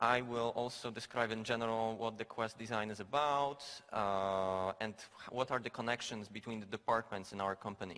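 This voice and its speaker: A man's medium-pitched voice with a Polish accent, bright, sharp tone, fairly even intonation and moderate pace. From Poland. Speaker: game designer. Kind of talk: conference talk. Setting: stage with audience. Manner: halting, many fillers.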